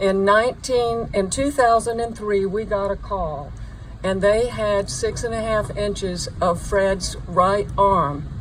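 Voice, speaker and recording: A woman speaks at a very slow pace with medium pitch and ordinary pitch variation. Noticeable background noise and audible room echo surround her. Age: 70s. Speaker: bereaved mother. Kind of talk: memorial speech. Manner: halting.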